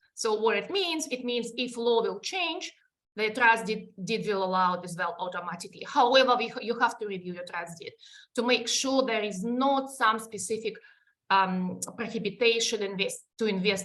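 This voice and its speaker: In a Russian accent, a woman speaks at a fairly high pitch. Her pace is moderate and her pitch varies in an ordinary way. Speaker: superannuation advisor presenting webinar. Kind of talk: webinar presentation. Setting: online webinar. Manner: halting, many fillers.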